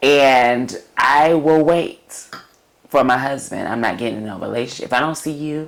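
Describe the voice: Vocal fry and ordinary pitch variation come through with audible room echo.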